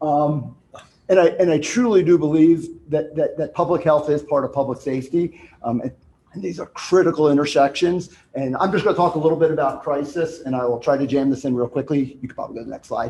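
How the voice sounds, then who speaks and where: A man talks very fast at a fairly high pitch in a dark, mellow tone. His loudness swings widely. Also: ordinary pitch variation. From New Jersey, Italian-American. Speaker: retired police officer, speaker on crisis services. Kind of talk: conference talk.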